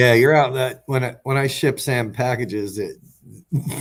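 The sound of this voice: The speaker reads in an unforced reading voice. Intonation is fairly even throughout.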